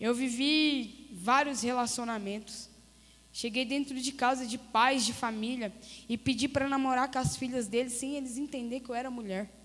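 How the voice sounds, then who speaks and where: Moderate-paced, fairly even speech from a woman with a high pitch. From Goiás, Brazil (Crixás). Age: 30s. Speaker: missionary giving testimony. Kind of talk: testimony. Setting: church service.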